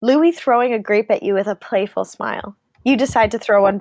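Plain reading aloud with ordinary pitch variation and a quiet background

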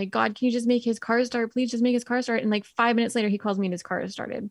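The speaker has a Canadian accent and fairly even intonation. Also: woman, dry, close sound with no echo, very clean recording, silent background. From British Columbia, Canada. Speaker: entrepreneur and writer in recovery. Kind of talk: casual interview, personal story.

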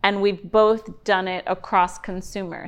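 A woman with an American accent speaks at a moderate pace in a normal speaking voice at medium pitch. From New York City. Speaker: entrepreneur and growth equity investor. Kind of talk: interview.

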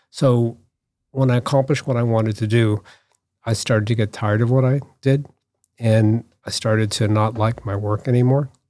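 A man with an unremarkable speaking voice and an American accent talks at a moderate pace and medium pitch, his intonation fairly even, on a very clean recording with a silent background. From US Northeast, Boston area (Newton, Massachusetts). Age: 60s. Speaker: artist and designer. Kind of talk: casual chat.

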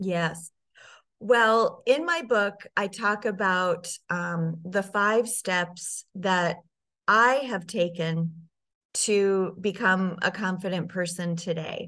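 A woman with an American accent speaks at a very slow pace against a quiet background. Her voice is medium in pitch, with ordinary pitch variation and a bright, sharp tone. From US Midwest, Sioux Falls, South Dakota. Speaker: personal brand strategist. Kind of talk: interview.

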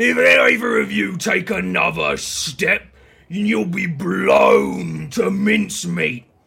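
Shouting in a raspy, put-on character voice, a man drags his words out at a very slow pace. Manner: yelling, threatening.

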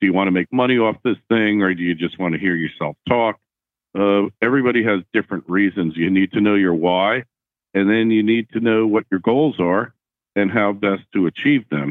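A man with a plain, everyday voice speaks at a moderate pace and a fairly low pitch, with ordinary pitch variation and very even loudness. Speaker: podcaster and author. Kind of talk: casual interview. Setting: Skype call.

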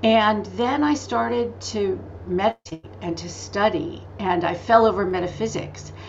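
A woman's voice amid noticeable background noise. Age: 60s. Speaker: spiritual teacher and author. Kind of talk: interview. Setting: video call. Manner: animated.

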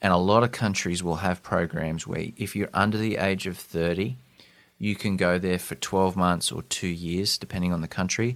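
With an Australian accent and a very deep, low pitch, a man speaks at a moderate pace in fairly even intonation on a very clean recording with a silent background. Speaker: podcast host. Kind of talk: interview.

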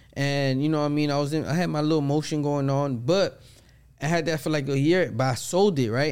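A man's fairly high voice, very fast, with ordinary pitch variation. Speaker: podcast co-host. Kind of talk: casual chat.

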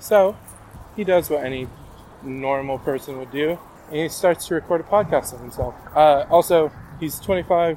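The speaker is a man. Noticeable background noise sits behind him. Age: 20s. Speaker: podcast host. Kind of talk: casual monologue. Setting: outdoors, walking.

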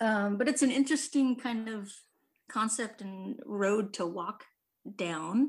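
This woman has a fairly high voice that sounds somewhat breathy. She talks at a fairly slow pace. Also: ordinary pitch variation. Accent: American. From Humboldt County, California. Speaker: podcast host. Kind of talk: casual chat. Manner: animated, jokey.

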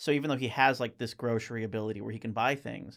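On a very clean recording with a silent background, a man speaks in a normal speaking voice at medium pitch with fairly even intonation. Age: 20s. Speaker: podcast co-host. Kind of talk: casual chat.

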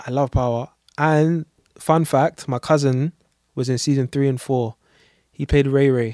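A man with a London accent speaks at a fairly slow pace with long, frequent pauses, fairly even intonation, a fairly high pitch, and a dark, mellow tone. The sound is dry and close with no echo, on a very clean recording with a silent background. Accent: London urban English. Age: 20s. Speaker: tattoo artist. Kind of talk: casual chat.

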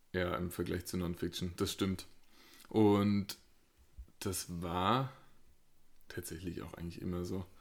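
A man's very deep, low voice at a very slow pace, with long, frequent pauses and ordinary pitch variation, on a very clean recording with a silent background. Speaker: podcast co-host, medical professional. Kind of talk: casual chat.

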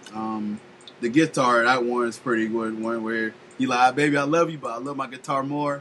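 A man with an American accent speaks at a moderate pace in a medium pitch, using a plain, everyday voice. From Florida, Polk County. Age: 30s. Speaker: podcast host. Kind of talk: casual chat.

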